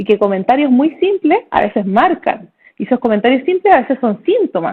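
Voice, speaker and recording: A woman with a Chilean accent speaks high in pitch, with very wide pitch swings. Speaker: neurologist. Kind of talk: casual chat. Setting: video call. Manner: fast; animated.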